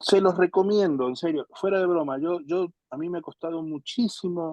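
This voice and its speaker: A man's pitch varies in an ordinary way as he talks at a fairly slow speed. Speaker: pastor teaching a Bible class. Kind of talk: lecture.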